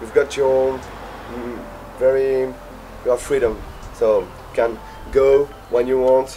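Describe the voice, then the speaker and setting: A man speaks with a French accent. There is light background noise. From northern France. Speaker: engineering student. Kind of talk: testimony. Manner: halting. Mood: relaxed, positive. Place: garden.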